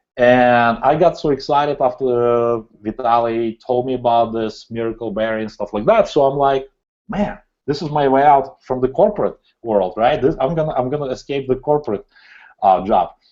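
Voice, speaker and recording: A man speaks at a moderate pace with a non-native accent. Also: medium pitch for a man, ordinary pitch variation. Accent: foreign. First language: not English. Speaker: entrepreneur. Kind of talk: interview. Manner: animated.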